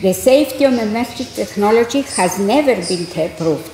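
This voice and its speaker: Over noticeable background noise and audible room echo, a woman with a fairly high voice talks at a moderate pace with lively intonation. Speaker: scientist, committee president. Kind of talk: conference presentation.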